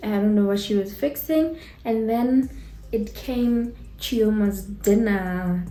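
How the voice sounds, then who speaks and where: A woman's somewhat breathy, dark, mellow voice at medium pitch, with ordinary pitch variation and audible room echo. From Botswana. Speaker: YouTuber, TV show reviewer. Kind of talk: casual review chat. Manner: casual, hesitant with fillers.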